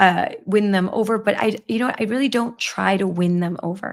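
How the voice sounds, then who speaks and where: Fairly slow and with fairly even intonation, a woman speaks in an ordinary speaking voice at a medium pitch. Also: very clean recording, silent background. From Milwaukee, Wisconsin (US Midwest). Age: 50s. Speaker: livestream show host, advocacy group. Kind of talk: casual livestream chat answering viewer comments.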